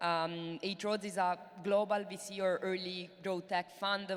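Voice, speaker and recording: A woman speaks in an Italian accent at a moderate pace. Her pitch is fairly low and her intonation monotone and flat. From Italy. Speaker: venture capital investor. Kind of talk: panel discussion. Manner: hesitant, many fillers.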